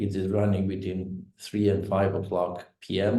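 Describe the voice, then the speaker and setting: This man has a fairly low pitch and a dark, mellow tone that is somewhat breathy. Audible room echo surrounds his voice. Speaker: think tank director hosting a webinar. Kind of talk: webinar moderation. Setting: online webinar. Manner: halting, many fillers.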